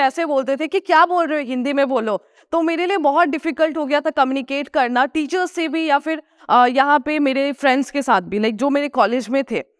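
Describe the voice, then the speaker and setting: A high-pitched woman with a Nepali accent, at a moderate pace with hardly any pauses, ordinary pitch variation, and a dry, close sound with no echo. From Sikkim, India (Gangtok). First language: Nepali (speaking Hindi). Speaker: food vlogger. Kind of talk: motivational talk.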